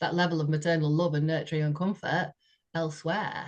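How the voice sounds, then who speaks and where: A woman talks with a very deep, low-pitched voice. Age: 60s. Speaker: podcast co-host sharing personal story. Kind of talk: heartfelt conversational testimony. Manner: halting, with frequent repetitions and fillers.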